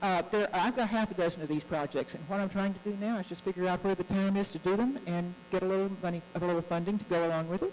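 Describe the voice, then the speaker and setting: With an American accent, a woman at a medium pitch talks at a very fast pace with hardly any pauses, while noticeable background noise runs behind her. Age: 70s. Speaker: guest speaker on US-Russia relations. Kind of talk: speech to club audience. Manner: earnest, animated.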